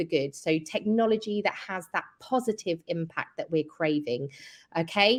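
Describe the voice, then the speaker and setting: In a British accent, a woman talks at a moderate pace with lively intonation. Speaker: event co-host, client success. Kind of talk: virtual panel event hosting. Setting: virtual event online.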